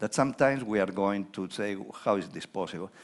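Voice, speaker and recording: Quiet surroundings frame speech at a medium pace. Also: man. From Spain. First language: Spanish. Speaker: economist. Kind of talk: conference keynote talk. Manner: informal, conversational with hesitations.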